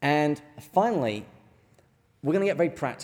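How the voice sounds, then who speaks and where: Lively intonation marks a man's fairly high voice as he talks at a moderate tempo. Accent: English. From England. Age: middle-aged. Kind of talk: lecture. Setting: stage with audience.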